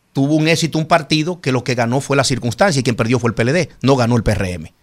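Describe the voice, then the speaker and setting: In a very clean recording with a silent background, a man with an unremarkable speaking voice talks at medium pitch and a moderate pace, his intonation lively. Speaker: senator. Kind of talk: studio interview.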